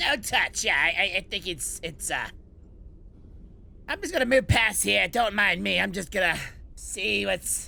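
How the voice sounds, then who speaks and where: Using a put-on character voice, a man speaks in a raised, projected voice. His pace is moderate, with long, frequent pauses. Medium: actual play.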